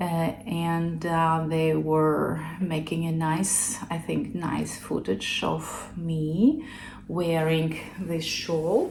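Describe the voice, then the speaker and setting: A woman with a non-native accent speaks at a very slow pace, her voice fairly low and somewhat breathy. Audible room echo surrounds her. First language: not English. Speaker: knitting podcaster. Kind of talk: casual chat. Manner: halting.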